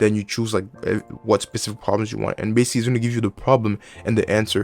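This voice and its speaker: Music plays in the background while a man with a non-native accent talks at a very fast pace. His intonation is monotone and flat. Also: fairly low pitch for a man. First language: not English. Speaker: student giving study advice. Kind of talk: tutorial. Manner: casual, with fillers and restarts.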